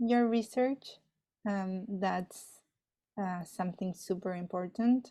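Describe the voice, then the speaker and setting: In a Spanish accent, a woman speaks at medium pitch in a dark, mellow tone with fairly even intonation, on a very clean recording with a silent background. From Argentina. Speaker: astrophysicist. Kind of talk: interview. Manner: hesitant, many fillers.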